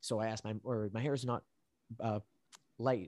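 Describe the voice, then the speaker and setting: At a very fast pace, a man speaks in a fairly low voice with a Canadian accent. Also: dry, close sound with no echo. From Canada, born in Colombia. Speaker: podcast host. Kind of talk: casual chat.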